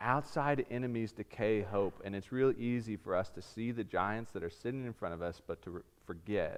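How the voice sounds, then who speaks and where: At a moderate pace with hardly any pauses, a man uses an ordinary speaking voice at medium pitch with ordinary pitch variation. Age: 30s. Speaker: pastor. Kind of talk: sermon.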